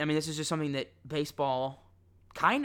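This man's voice sits at a fairly high pitch. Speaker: sports podcast host. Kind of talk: solo sports commentary monologue. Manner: rambling, self-correcting.

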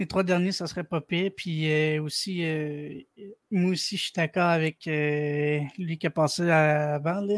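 A man with a Quebec accent talks at a very slow pace in a monotone, flat delivery, the sound dry and close with no echo. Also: fairly high pitch for a man. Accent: Québécois French. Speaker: caller, hockey fan. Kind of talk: casual chat. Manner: halting.

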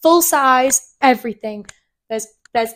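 On a very clean recording with a silent background, a woman talks at a moderate pace in a plain, everyday voice with ordinary pitch variation. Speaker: podcast co-host. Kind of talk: casual chat. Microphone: new cheap microphone.

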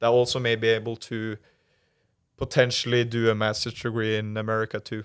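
The speaker has a Norwegian accent and a monotone, flat intonation. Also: man, very clean recording, silent background. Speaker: former college soccer player, master's student. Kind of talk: interview. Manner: hesitant, many fillers.

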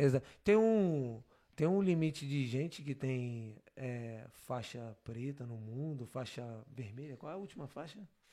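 Talking at a fairly slow pace, a man with a fairly high voice and a dark, mellow tone uses lively intonation and big swings in loudness. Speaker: podcast host. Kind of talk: casual chat. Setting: live stream. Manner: casual, slangy.

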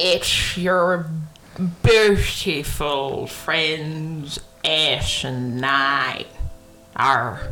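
With clear music in the background, a woman uses a put-on character voice, very deep and low in pitch, speaking at a very slow pace. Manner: playful, joking.

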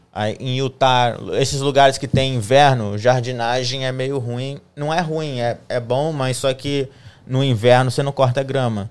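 In a normal speaking voice, a man speaks at a fairly slow pace in a medium pitch with fairly even intonation. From Espírito Santo, Brazil. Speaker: guest, social media professional. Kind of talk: casual interview chat. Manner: casual, conversational.

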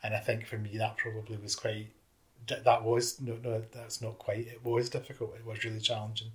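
A man with a Scottish accent talks at a fairly quick pace and medium pitch, somewhat breathy. His intonation is monotone and flat, with big swings in loudness. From Scotland. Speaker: youth worker. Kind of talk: interview reminiscence.

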